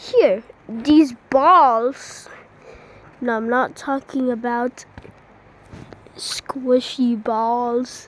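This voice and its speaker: Over noticeable background noise, a woman with a high pitch talks very slowly with fairly even intonation. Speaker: hobbyist builder showing creations. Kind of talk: casual tutorial. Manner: halting, repetitive.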